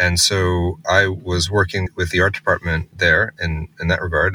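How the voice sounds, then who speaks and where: In an American accent, a man with a very deep, low pitch and a bright, sharp tone speaks in a monotone, flat way, the sound dry and close with no echo. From US Northeast, Massachusetts. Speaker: tech company co-founder and CTO. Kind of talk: interview.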